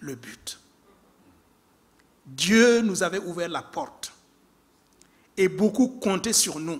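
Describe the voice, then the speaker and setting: A man with an African accent, talking at a very slow pace. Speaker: preacher. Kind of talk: sermon.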